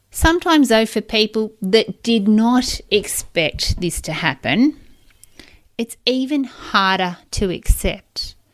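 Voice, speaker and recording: A woman speaks at a very slow pace with a fairly high pitch and lively intonation. Music plays in the background. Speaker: podcast host and divorce coach. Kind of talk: podcast monologue.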